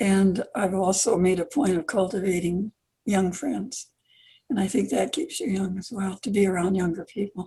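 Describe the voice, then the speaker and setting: A woman speaks at a moderate pace and a medium pitch, with ordinary pitch variation. Her tone is dark and mellow and somewhat breathy. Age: 80s+. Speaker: children's author. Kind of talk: interview.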